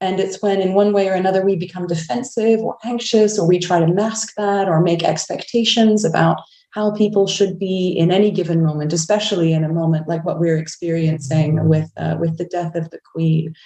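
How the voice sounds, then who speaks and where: A woman speaks with a Canadian accent at a fairly quick pace. Her pitch is fairly low and her intonation fairly even. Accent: Canadian, noticeable. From Canada, Vancouver. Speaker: clergy. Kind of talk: panel discussion. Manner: reflective, halting.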